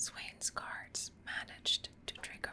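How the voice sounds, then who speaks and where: Whispering at a very slow pace is heard against noticeable background noise. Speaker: ASMR creator. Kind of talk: ASMR lore reading. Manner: whispered, soft-spoken.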